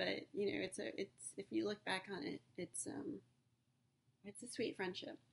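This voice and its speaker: At a moderate pace, a woman with a medium pitch and vocal fry speaks with very wide pitch swings. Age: 40s. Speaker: podcaster. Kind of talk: personal monologue. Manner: halting.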